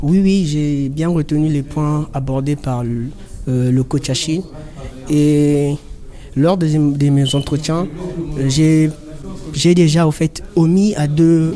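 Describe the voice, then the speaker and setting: The speech carries fairly even intonation, with noticeable background noise present. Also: man. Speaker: job seeker, coaching participant. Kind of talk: testimony.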